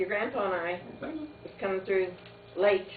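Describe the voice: The pace is fairly slow and the intonation lively. Audible room echo surrounds the voice. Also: woman, medium pitch for a woman.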